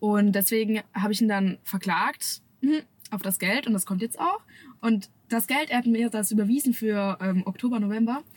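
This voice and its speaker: This woman's voice sits at a fairly high pitch and sounds somewhat breathy. Her pitch varies in an ordinary way. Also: moderate pace. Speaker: social media creator. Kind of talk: casual chat. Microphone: camera audio instead of studio mic, worse sound.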